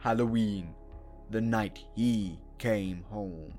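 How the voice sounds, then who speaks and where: A man's put-on character voice, fairly low and very slow, with clear music in the background. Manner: dramatic, portentous.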